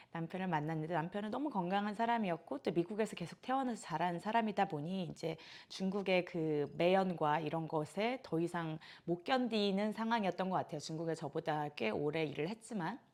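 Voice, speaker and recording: In a very clean recording with a silent background, a woman with an unremarkable speaking voice talks at a fairly quick pace, with a fairly low pitch and lively intonation. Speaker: yoga instructor. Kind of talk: casual vlog monologue.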